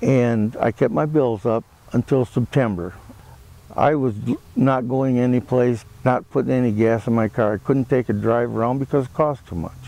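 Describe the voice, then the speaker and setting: Dark and mellow in tone, a man's voice proceeds at a moderate pace. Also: medium pitch for a man, fairly even intonation. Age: 60s. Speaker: laid-off worker. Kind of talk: testimony. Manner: halting, many fillers.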